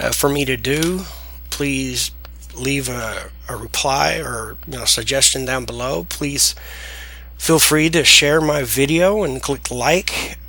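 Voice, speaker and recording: A man with an American accent at a very slow pace, amid audible room echo. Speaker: software tutorial creator. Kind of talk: tutorial. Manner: casual, hesitant with fillers.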